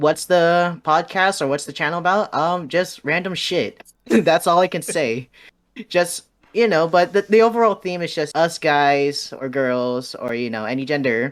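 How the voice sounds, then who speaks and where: A high-pitched man with an American accent, lively intonation and a moderate pace. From San Francisco Bay Area, US. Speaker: podcast host. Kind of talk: casual livestream interview.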